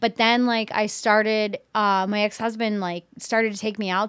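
A woman at a medium pitch and fairly slow pace, on a very clean recording with a silent background. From southern Maryland, US; raised in Pennsylvania from age 11. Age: 30s. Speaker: army soldier. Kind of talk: casual interview.

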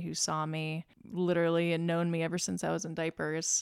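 In an American accent, a woman with a plain, everyday voice talks at a fairly slow pace and a fairly low pitch. The recording is very clean, with a silent background. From Lynchburg, Virginia. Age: 20s. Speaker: podcast guest, tech worker. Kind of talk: casual interview chat.

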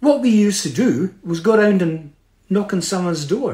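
A man with a Scottish accent and a high-pitched voice. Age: 70s. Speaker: motivational speaker. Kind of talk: motivational talk. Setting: video call. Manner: animated.

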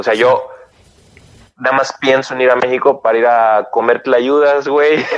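Keeping his loudness very even, a man with a medium pitch speaks in a monotone, flat intonation at a moderate pace, with long, frequent pauses. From Mexico, Oaxaca. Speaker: Mexican emigrant in Germany. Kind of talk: casual chat.

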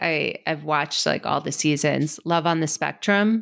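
A woman with an American accent, fairly low pitch, lively intonation and vocal fry, in a very clean recording with a silent background. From US. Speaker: ADHD coach. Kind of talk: casual interview chat.

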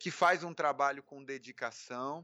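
A man speaks fairly slowly in a fairly high pitch, with ordinary pitch variation. He has a plain, everyday voice. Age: 30s. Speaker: beginning professional photographer. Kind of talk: casual interview chat.

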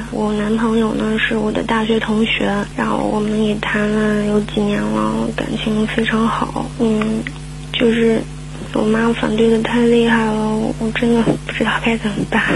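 A woman at a fairly slow pace, very even in loudness, with audible room echo and noticeable background noise. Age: 20s. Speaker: caller seeking relationship advice. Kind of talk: radio call-in. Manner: halting.

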